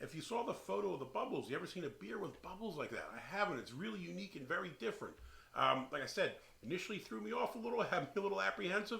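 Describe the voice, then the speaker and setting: A man with a Philadelphia accent, high-pitched, very fast, with very wide pitch swings. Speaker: beer reviewer, channel host. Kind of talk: casual chat, beer review. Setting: beer shed. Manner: hesitant, filler-heavy.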